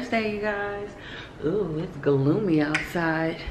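At a fairly slow pace and with ordinary pitch variation, a woman talks over noticeable background noise. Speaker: mother vlogger. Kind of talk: casual vlog chat. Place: home room. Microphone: phone near.

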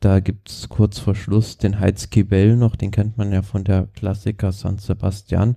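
A man speaks fairly slowly and fairly low in a dark, mellow, somewhat breathy tone, monotone and flat, with hardly any pauses. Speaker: cycling podcast co-host. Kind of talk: casual chat. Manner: halting.

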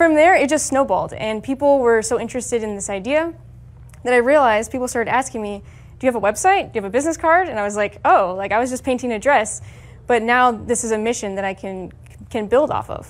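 Speaking at a very fast pace, a woman uses lively intonation and a high pitch. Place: meeting room. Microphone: lapel.

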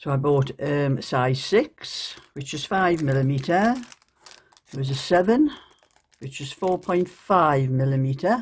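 A woman with a Geordie accent speaks fairly slowly in a very deep, low pitch, somewhat breathy, with lively intonation and big swings in loudness. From northeast England. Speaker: YouTube crafter and vlogger; vlogger. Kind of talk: casual show-and-tell vlog. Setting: at home at night. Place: home room. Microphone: phone near.

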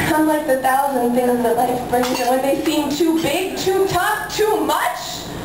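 A woman talks at a fairly slow pace with a high pitch and lively intonation. Audible room echo and noticeable background noise surround her. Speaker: slam poet. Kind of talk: poetry slam performance. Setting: live cafe event. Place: cafe.

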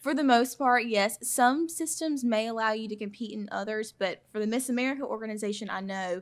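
The speaker has a Southern US accent and ordinary pitch variation. The background is quiet. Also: woman. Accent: Southern US (Georgia). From Georgia, US South (Claxton); Georgia. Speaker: pageant winner; guest. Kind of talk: casual interview. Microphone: studio mic.

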